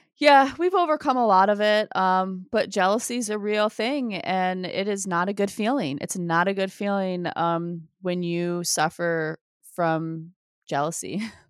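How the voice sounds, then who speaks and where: Woman at a medium pitch, an ordinary speaking voice with ordinary pitch variation and a fairly slow pace, on a very clean recording with a silent background. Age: 40s. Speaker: podcast co-host. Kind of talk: casual chat.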